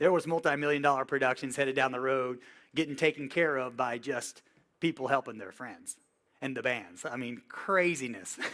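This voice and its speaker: A man with a Southern US accent speaks at a moderate pace in a medium pitch. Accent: Southern US (Georgia). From US South, Georgia (Villa Rica, near Atlanta). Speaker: touring music tech and workshop instructor. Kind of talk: workshop lecture. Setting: classroom with live audience. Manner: casual, conversational.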